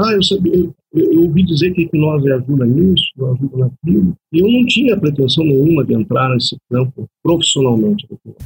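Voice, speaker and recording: An unremarkable speaking voice with lively intonation sounds dry and close, with no echo. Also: man, fairly high pitch for a man. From Brazil, Curitiba (Paraná). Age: 40s. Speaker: hypnotherapist specializing in regression. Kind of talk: interview.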